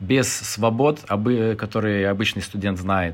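A man speaks with a Lithuanian accent. He goes at a very slow pace. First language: Lithuanian (speaking Russian). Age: 30s. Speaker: podcast guest, former civil servant. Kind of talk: casual chat.

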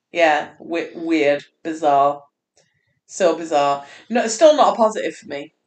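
Vocal fry runs through this woman's voice. She speaks at a fairly slow pace. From Scotland. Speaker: podcast co-host. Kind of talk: casual chat. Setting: studio.

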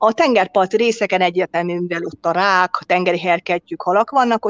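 The sound is dry and close, with no echo. A woman with a normal speaking voice and a medium pitch talks at a fairly quick pace with ordinary pitch variation. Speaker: restaurant and hotel owner. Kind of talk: interview.

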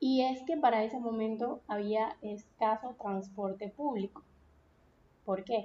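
A woman's fairly high voice, dark and mellow, at a very slow pace with ordinary pitch variation. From Venezuela, Punto Fijo (Falcón coast). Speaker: podcast host. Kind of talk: solo podcast monologue. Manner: casual, conversational.

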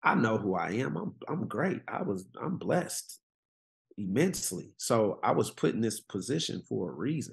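A man speaks with vocal fry. His pace is fairly slow. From Oakland, California. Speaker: former pro football player, PE teacher and coach. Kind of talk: casual chat.

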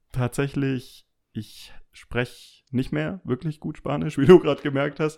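A man speaks very slowly at a medium pitch, his intonation lively. The recording is very clean, with a silent background. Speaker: former classmate, office professional. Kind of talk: casual chat.

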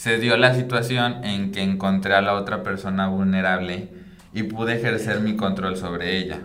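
A man with a fairly low pitch and fairly even intonation talks at a moderate pace, with audible room echo and noticeable background noise. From Mexico, Michoacán. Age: 20s. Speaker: psychologist. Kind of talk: casual chat interview.

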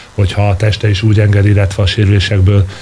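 Through noticeable background noise, a man talks at a very fast pace with a fairly low pitch. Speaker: handball coach. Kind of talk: radio interview. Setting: studio.

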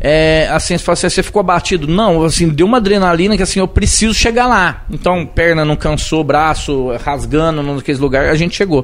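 With noticeable noise behind him, a man talks fairly quickly in a high voice at very even loudness, his pitch varying an ordinary amount. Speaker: city councillor and civil firefighter. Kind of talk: casual interview. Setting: live podcast studio.

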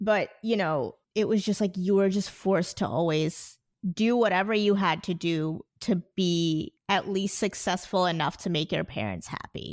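With a New Jersey accent, a woman talks at medium pitch and a moderate pace, her pitch varying in an ordinary way, in a very clean recording with a silent background. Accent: New Jersey American. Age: 20s. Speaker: podcaster. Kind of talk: casual chat.

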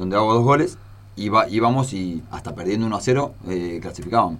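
Ordinary pitch variation runs through the man's normal speaking voice, which sits at a fairly low pitch. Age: 40s. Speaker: former footballer. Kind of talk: interview. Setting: studio.

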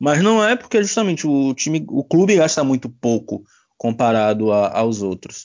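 Here a man talks at a moderate pace in a fairly high pitch. His voice makes very wide pitch swings. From Bahia, Brazil. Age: 20s. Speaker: sports journalist. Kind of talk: casual chat.

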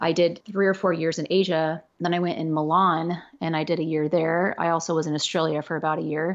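Speaking at a fairly quick pace with hardly any pauses, this voice has a monotone, flat intonation and an American accent. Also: woman, fairly low pitch for a woman. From Los Angeles, California. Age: 40s. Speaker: model, actor and photographer. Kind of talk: casual chat.

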